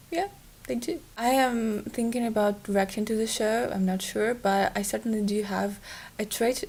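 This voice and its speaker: Fairly high and somewhat breathy, a woman's voice moves at a fairly slow pace with ordinary pitch variation. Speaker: YouTuber recommending TV shows. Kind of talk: casual vlog talk. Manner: hesitant, many fillers.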